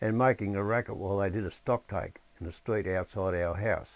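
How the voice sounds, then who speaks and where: Speaking at a moderate pace with ordinary pitch variation, a man with an Australian accent comes through on a very clean recording with a silent background. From Australia, Sydney (Hornsby). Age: 70s. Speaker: memoir narrator. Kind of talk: reading aloud a personal memoir.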